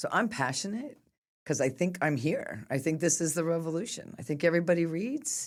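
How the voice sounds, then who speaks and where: In a very clean recording with a silent background, a woman with a fairly low pitch, a normal speaking voice and a General American accent speaks with lively intonation. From US West, Sacramento, California. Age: 60s. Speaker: nonprofit executive director. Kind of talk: interview conversation.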